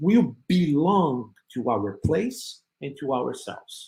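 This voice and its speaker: Vocal fry runs through this man's voice. He talks at a very slow pace with very wide pitch swings. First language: not English. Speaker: spiritist speaker. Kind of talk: talk with slides. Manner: halting.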